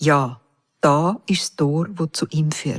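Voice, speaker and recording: A woman with a Swiss German accent talks at a very slow pace in a solemn tone. The sound is dry and close, with no echo. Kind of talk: psalm reading. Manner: slow, solemn.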